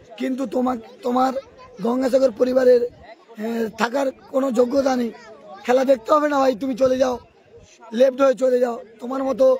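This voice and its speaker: Crowd noise fills the background as a man talks. His pitch is extremely high and his intonation monotone and flat. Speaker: live-stream football commentator and channel owner. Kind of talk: live commentary with viewer reprimand.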